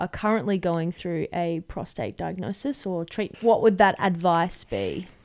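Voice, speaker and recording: In an Australian accent, a woman talks at a moderate pace with a medium pitch and fairly even intonation, on a very clean recording with a silent background. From Brisbane, Australia. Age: 20s. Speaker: podcast host. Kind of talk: casual interview.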